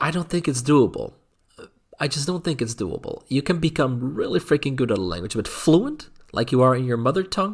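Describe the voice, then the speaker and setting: A man's fairly high, somewhat breathy voice with a slight Dutch accent, lively intonation and a fairly quick pace. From Netherlands. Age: adult. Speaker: YouTuber. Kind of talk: casual vlog monologue. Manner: halting, many fillers and repeats.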